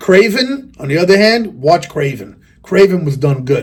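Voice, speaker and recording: The voice is somewhat breathy, with lively intonation. Its pace is moderate. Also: man. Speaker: rapper and video reviewer. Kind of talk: casual rant to camera. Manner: animated.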